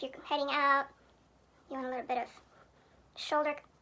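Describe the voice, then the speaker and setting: A woman speaks in a raised, projected voice with a high pitch and a bright, sharp tone. Her intonation stays monotone and flat. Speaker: beauty vlogger. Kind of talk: makeup tutorial narration.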